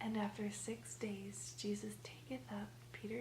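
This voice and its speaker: Soft-spoken and monotone with flat intonation, a woman talks in a very deep, low pitch against noticeable background noise. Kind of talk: scripture reading.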